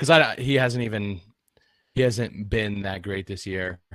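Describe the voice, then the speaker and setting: With an American accent, a man uses an ordinary speaking voice at a moderate pace with ordinary pitch variation. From Pennsylvania, Pittsburgh area. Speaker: podcast co-host. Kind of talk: casual chat. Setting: remote recording.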